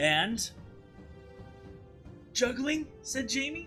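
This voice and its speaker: With music in the background, a man's voice moves through very wide pitch swings. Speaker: teacher. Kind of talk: dramatized children's read aloud.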